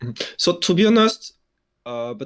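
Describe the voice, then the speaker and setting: A man speaks with a French accent. The recording is very clean, with a silent background. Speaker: esports journalist. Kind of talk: casual interview. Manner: halting, many fillers and restarts.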